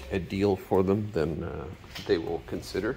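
A man's very deep, low pitch at a fairly slow pace, with light background noise. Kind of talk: inspection commentary. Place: garage. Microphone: phone near.

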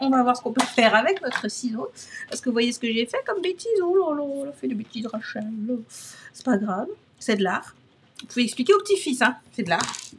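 Noticeable background noise sits behind a woman's high-pitched voice with lively intonation. She talks at a fairly quick pace, and her loudness swings widely. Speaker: crafting video creator. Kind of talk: craft tutorial. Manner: animated.

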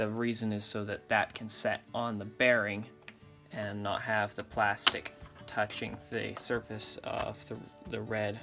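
Very slow, monotone, flat delivery over clear music in the background. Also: man. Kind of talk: tutorial. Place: workshop. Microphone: phone near.

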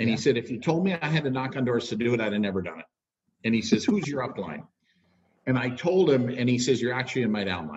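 Talking at a very fast pace, a somewhat breathy man uses lively intonation against a quiet background. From Minnesota, US. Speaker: network marketing leader. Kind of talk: interview. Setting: video call. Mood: warm, storytelling. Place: home room. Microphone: webcam.

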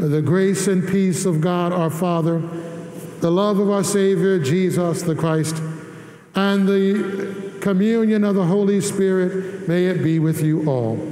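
With audible room echo, a man talks at a fairly slow pace with ordinary pitch variation. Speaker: priest leading Mass. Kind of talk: liturgical address. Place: church.

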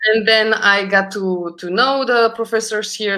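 The background is quiet as a woman with a Romanian accent speaks fairly slowly, her tone bright and sharp. Her pitch varies in an ordinary way. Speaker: concert pianist; guest. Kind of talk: casual interview chat. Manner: halting, repeats words. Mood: warm, reflective. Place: home room.

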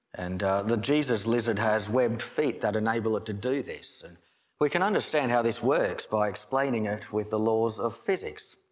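A man with ordinary pitch variation talks at a moderate pace, the background quiet. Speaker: pastor. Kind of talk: sermon. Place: church. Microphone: podium.

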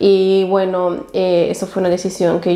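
Over faint background noise, a woman speaks at a moderate pace with a fairly low pitch, vocal fry and a slightly mellow tone.

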